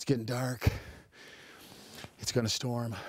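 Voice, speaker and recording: Breathing somewhat audibly, a man speaks at a moderate pace and medium pitch. His intonation is monotone and flat. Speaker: hunting show host. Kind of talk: hunting video narration. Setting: outdoors. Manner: whispering.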